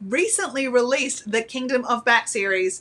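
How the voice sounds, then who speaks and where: A woman with an Australian accent and a high pitch speaks at a moderate pace in an animated tone. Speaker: publisher's channel host. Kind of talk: live stream Q&A hosting.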